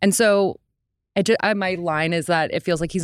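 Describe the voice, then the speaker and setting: In a very clean recording with a silent background and a dry, close sound without echo, a woman speaks with vocal fry and ordinary pitch variation. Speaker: podcaster with social work background. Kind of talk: casual chat.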